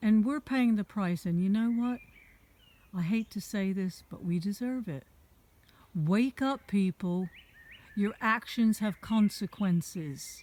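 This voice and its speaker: Somewhat breathy and dark, mellow in tone, a woman talks at a medium pitch with ordinary pitch variation and a fairly slow pace, leaving long, frequent pauses in a dry, close sound with no echo. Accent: American. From America. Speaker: vlogger. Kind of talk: rant. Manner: animated.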